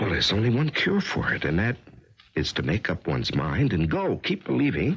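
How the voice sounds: A man puts on a character voice with a fairly low pitch, a fairly bright tone and a husky, rough edge. He moves at a moderate pace with very wide pitch swings.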